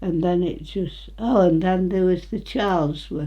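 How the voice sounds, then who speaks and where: A woman with an East Midlands accent speaks at a fairly slow pace in a fairly low pitch, with audible room echo. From England, Retford, Nottinghamshire. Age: 90s. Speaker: elderly local resident. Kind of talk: casual reminiscing interview. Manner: halting.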